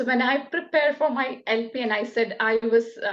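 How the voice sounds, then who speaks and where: Speaking at a moderate pace with a Keralan accent, a woman shows ordinary pitch variation. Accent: Indian (Malayali) English. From Kerala, India. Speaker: nurse. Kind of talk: interview answer.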